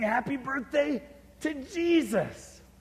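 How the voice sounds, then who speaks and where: Over noticeable background noise, a man with an extremely high pitch speaks at a very slow pace with lively intonation. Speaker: author and speaker telling a personal story, one of the roadshow authors. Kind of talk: storytelling / personal anecdote from a book, spoken to an audience.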